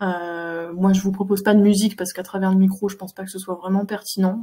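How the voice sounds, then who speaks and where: Dark and mellow in tone, this voice carries a somewhat breathy quality. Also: woman. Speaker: animal communicator. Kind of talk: online talk; guided meditation. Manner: hesitant, many fillers; soft-spoken.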